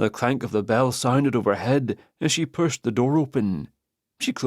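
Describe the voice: The background stays quiet during plain reading aloud.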